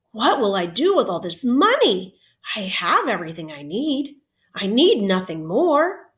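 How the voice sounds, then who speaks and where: A female-sounding, put-on character voice with a gentle tone speaks fairly high in pitch at a moderate pace, with very wide pitch swings. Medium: read story. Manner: modest, gentle.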